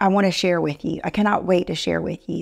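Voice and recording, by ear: This woman's voice has vocal fry and a slightly mellow tone. The recording is very clean, with a silent background.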